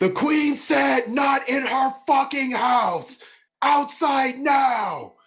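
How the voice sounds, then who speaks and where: This is a put-on character voice pitched high. It moves at a very slow pace. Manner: intimidating.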